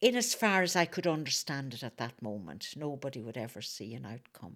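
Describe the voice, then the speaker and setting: A woman's voice with vocal fry and very wide pitch swings at a moderate pace, on a very clean recording with a silent background. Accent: Northern Irish. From Northern Ireland, Fermanagh. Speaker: activist. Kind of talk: interview.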